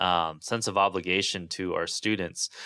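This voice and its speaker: This voice belongs to a man. It has a bright, sharp tone. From Southern California (Santa Barbara). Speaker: music professor. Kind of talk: interview. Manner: many filler words (um, uh).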